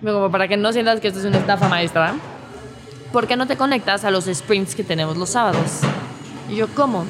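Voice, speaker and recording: With music in the background, a woman at medium pitch talks at a very fast pace. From Mexico City. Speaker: startup employee. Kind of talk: interview testimony. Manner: formal.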